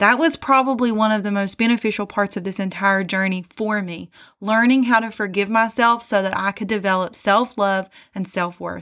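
On a very clean recording with a silent background, an ordinary speaking voice with an American accent moves at a moderate pace with fairly even intonation. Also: woman, medium pitch for a woman. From US South, southern West Virginia. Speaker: self-help podcaster. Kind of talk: motivational monologue.

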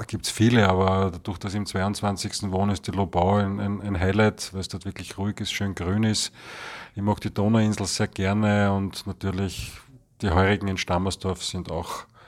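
He speaks in a fairly low pitch at a moderate pace. His intonation is monotone and flat. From Vienna, Austria. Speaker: resident. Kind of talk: interview.

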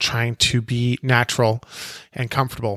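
The recording is dry and close with no echo as a man with a western Canadian accent speaks at a moderate pace. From western Canada (British Columbia, Alberta). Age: 40s. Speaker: podcast host. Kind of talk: casual monologue introduction. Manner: hesitant, with fillers.

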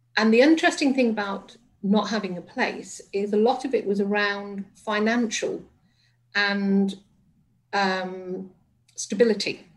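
Somewhat breathy and medium in pitch, a woman talks at a fairly slow pace with ordinary pitch variation and long, frequent pauses. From northern England, Liverpool and Manchester area. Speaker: resilience coach and former hospice chief executive. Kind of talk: radio interview.

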